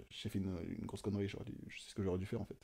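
The man's speech moves at a very fast pace. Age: 20s. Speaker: self-taught fashion designer; guest. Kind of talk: casual chat; interview answer. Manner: halting, many fillers and repetitions. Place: home room. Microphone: studio mic.

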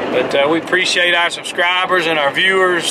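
Noticeable background noise accompanies a man speaking at a moderate pace, the sound dry with no echo. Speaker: vlogger. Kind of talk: casual vlog chat. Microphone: phone near.

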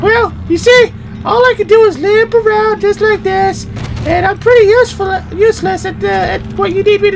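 A put-on character voice talks at a moderate pace against loud background noise. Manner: mocking, deadpan.

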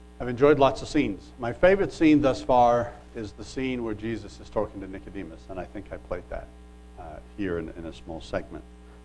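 Fairly quick speech with big swings in loudness over noticeable background noise. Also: man. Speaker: preacher. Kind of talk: sermon. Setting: church. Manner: informal, hesitant with fillers.

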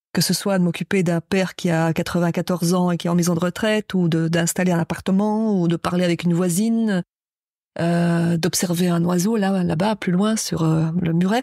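A woman with a dark, mellow tone speaks in a monotone, flat intonation, recorded very cleanly with a silent background and a dry, close sound with no echo. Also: fairly low pitch for a woman, moderate pace, very even loudness. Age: 60s. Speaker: writer and poet. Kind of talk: interview. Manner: halting.

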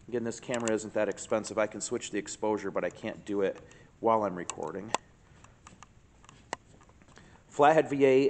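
A man's fairly low-pitched voice, an ordinary speaking voice, at a fairly quick pace with ordinary pitch variation. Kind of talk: casual walk-around commentary. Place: garage. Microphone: phone near.

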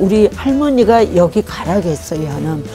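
A woman speaks with clear music in the background. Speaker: market merchant, woodcraft shop owner. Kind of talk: interview answer, shop promotion to camera. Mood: warm, grateful. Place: shop. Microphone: lapel.

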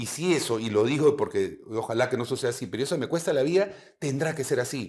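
Speaking at a very fast pace, a man uses a fairly high pitch. His words come quickly throughout. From Peru. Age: 50s. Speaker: retired air force general. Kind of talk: interview. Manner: halting. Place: studio.

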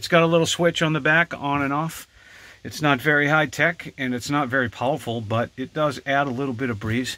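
Bright and sharp in tone, this man's voice comes at a moderate pace in a dry recording with no echo. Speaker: hobby tractor owner. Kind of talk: casual vlog chat. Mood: relaxed, a bit hot. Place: farm machine. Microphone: phone near.

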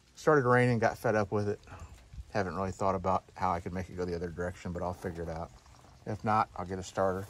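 A man talks very fast. His pitch is very deep and low. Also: ordinary pitch variation, dry sound with no echo. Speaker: tractor owner. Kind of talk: casual walkaround commentary. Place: open country. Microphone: phone near.

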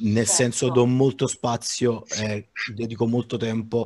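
Over light background noise, a man with an unremarkable speaking voice talks at a moderate pace. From Naples, Italy; Italy. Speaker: digital artist; guest. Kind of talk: informal panel discussion. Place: home room. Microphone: headset.

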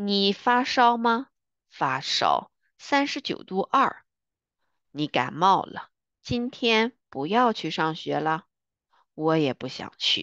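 A woman with a medium pitch talks very slowly, with very wide pitch swings and long, frequent pauses, in a dry, close sound with no echo against a quiet background. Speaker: Chinese language teacher. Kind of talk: language lesson, vocabulary and dialogue reading. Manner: slow, repetitive, clear.

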